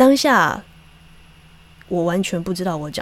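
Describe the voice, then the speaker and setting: In a Taiwanese accent, a woman speaks at a fairly slow pace with lively intonation. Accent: Taiwanese Mandarin. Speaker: podcast host and actress. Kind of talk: casual monologue.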